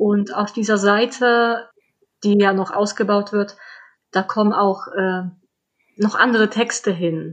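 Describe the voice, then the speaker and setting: This woman speaks with a slight non-native accent. Her pitch varies in an ordinary way. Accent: slight foreign accent in German. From Poland. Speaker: children's book author. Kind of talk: interview.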